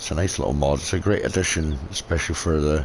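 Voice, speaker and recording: A man with a Scottish accent speaks quite quickly in a very deep, low voice with fairly even intonation. Noticeable background noise is present. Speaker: gaming video creator. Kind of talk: gameplay commentary. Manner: relaxed, rambling.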